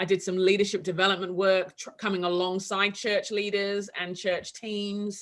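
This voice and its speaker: This woman has a strong London accent and a medium pitch. Her intonation is flat and monotone, her loudness swings a lot, and her pace is moderate. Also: hardly any pauses. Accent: heavy London English. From London, England. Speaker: author and leadership coach. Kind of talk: casual interview. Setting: video call.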